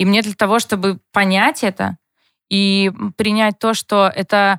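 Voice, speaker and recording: The speech moves at a fairly slow pace. The recording is very clean, with a silent background and a dry, close sound with no echo. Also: woman. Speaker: TV producer and blogger, mother of four. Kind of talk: casual chat. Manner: animated.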